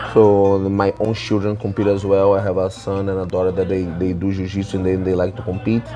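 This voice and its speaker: With music in the background, a man speaks at a fairly low pitch using fairly even intonation. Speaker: jiu-jitsu professor. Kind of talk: interview.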